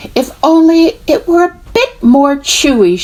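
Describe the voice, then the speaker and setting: A woman performs a put-on character voice at a fairly slow pace. Her extremely high pitch moves in very wide swings. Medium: read story.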